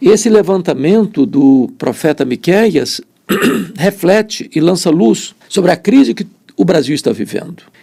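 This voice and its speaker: A man speaks at a fairly slow pace in a high pitch, his dark, mellow tone sweeping through very wide pitch swings. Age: 60s. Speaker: preacher. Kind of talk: sermon.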